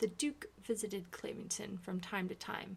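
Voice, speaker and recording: The speaker is soft-spoken, with vocal fry and ordinary pitch variation. The pace is fairly slow. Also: woman. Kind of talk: ASMR book reading.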